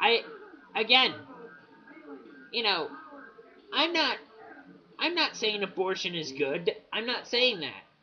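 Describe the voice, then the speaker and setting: Very slow speech with long, frequent pauses over music in the background. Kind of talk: casual talk to camera. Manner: stuttering, hesitant.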